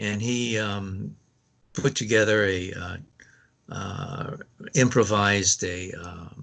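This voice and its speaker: Speaking very slowly with long, frequent pauses, a man with an American accent shows ordinary pitch variation. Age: 70s. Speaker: public relations professional. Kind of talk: interview answer.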